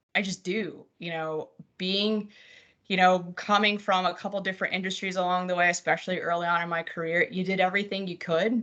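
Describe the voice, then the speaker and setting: A woman speaks loudly with an American accent at a medium pitch. The background is quiet. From New Jersey, US. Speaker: mortgage company compliance executive. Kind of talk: interview on live webcast. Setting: live webcast. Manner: animated.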